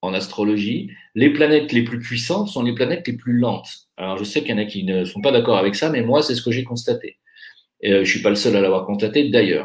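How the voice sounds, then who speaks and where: A man talks at a moderate pace in a medium-pitched, somewhat breathy voice. His intonation is lively. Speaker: astrologer. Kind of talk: monologue.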